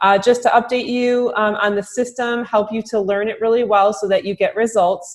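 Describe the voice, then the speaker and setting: A woman talks at a moderate pace, and the background is quiet. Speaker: marketing director training real estate agents; trainer for real estate agents. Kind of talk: recorded software training webinar. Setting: closed room, recorded Zoom webinar. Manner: many filler words (um, uh). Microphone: webcam.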